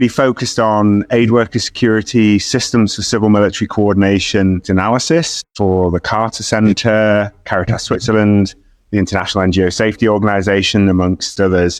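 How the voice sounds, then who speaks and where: A man speaks at a fairly quick pace. His fairly low voice holds a fairly even intonation. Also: hardly any pauses, quiet background. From UK. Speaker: humanitarian researcher. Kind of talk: podcast interview.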